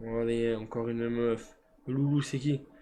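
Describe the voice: A man speaks at a fairly slow pace in a dark, mellow tone with fairly even intonation. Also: medium pitch for a man.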